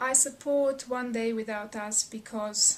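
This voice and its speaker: A woman's fairly high voice with a Serbian accent, at a moderate pace, over noticeable background noise. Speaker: researcher. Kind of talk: personal testimony.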